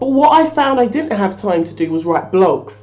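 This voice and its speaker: Over music in the background, a woman speaks at a moderate pace in an animated tone with lively intonation. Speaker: social media marketing tutor, small business owner. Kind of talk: tutorial.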